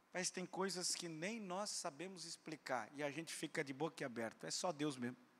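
The speaker sounds animated, with ordinary pitch variation and hardly any pauses. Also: man, moderate pace. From Brazil. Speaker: preacher. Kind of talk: sermon to a live congregation, with teaching asides, dramatized dialogue and prayer. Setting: church. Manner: animated and emphatic, repeats commands in a rising pulpit cadence. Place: church. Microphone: handheld.

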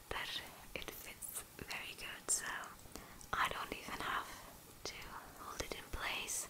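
A woman talks at a fairly slow pace through loud background noise. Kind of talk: casual vlog chat.

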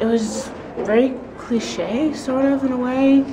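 A man speaks slowly at an extremely high pitch for a man, with ordinary pitch variation. Background noise is clearly audible.

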